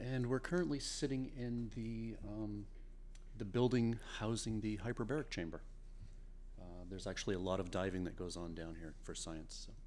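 A man with an American accent speaks at a moderate pace. Audible room echo hangs around his voice. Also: medium pitch for a man, lively intonation. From Maine, US. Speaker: physician assistant. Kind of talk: interview. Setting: Antarctic research station.

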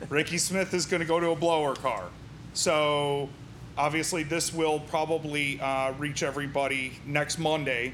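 With an American accent and an unremarkable speaking voice, a man talks at a fairly high pitch with fairly even intonation. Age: 40s. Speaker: podcast host. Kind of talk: casual interview. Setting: racing shop.

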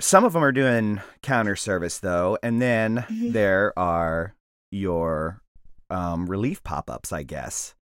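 An unremarkable speaking voice talks at a fairly slow pace in a dry, close sound with no echo. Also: man, very clean recording, silent background. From US South, Mississippi Gulf Coast. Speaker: podcast host. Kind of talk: casual interview; scripted comic narration.

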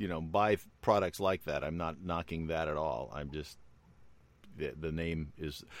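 The background is silent in a very clean recording. A man talks with fairly even intonation at a very deep, low pitch. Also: moderate pace. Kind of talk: casual chat. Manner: halting, many fillers.

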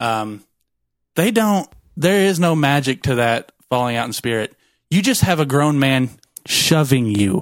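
On a very clean recording with a silent background, a man speaks at a fairly slow pace and a fairly high pitch, with long, frequent pauses. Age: 20s. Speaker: former church volunteer, guest. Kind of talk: casual chat.

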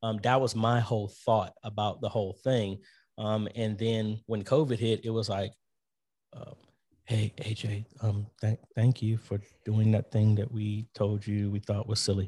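This man has a fairly low pitch and a dark, mellow tone that is somewhat breathy. He talks at a moderate pace with monotone, flat intonation. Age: 40s. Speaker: church musician and media ministry teacher. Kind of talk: interview. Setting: video call.

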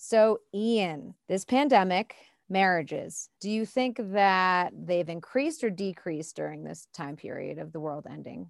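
In a very clean recording with a silent background, a woman with a plain, everyday voice speaks at a fairly slow pace and medium pitch, with lively intonation, big swings in loudness and hardly any pauses. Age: 30s. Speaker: podcast host. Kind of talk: casual chat.

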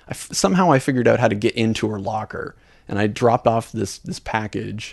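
A man with a medium-pitched voice and vocal fry talks at a fairly quick pace with ordinary pitch variation. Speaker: podcast host. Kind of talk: casual chat.

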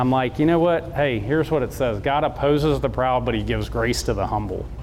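Speaking at a fairly quick pace in a Southern US accent, a man holds a medium pitch with ordinary variation, and the room echo is audible. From US South, South Georgia. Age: 40s. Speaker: motivational speaker. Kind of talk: inspirational talk to an audience.

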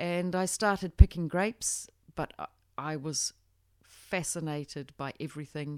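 A woman with a New Zealand accent speaks at a fairly slow pace and a very deep, low pitch. Her loudness swings widely, and the sound is dry and close, with no echo. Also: ordinary pitch variation, very clean recording, silent background. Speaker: winemaker. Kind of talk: interview.

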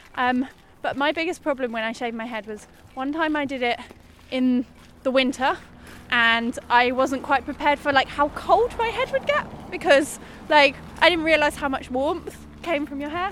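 A woman with an English accent and a high pitch speaks at a moderate pace, with ordinary pitch variation and long, frequent pauses. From England, small town. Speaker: interviewee. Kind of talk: casual interview. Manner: hesitant, many fillers.

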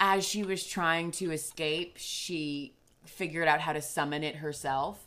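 A woman speaks at a fairly slow pace in a fairly low pitch with ordinary pitch variation. Her tone is bright and sharp. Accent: New Jersey. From New Jersey. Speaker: guest on tabletop role-playing podcast. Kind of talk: casual chat. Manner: animated.

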